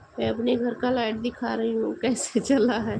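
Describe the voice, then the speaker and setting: A woman speaks over noticeable background noise. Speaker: live-stream host. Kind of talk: casual live-stream chat. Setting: live stream at home at night.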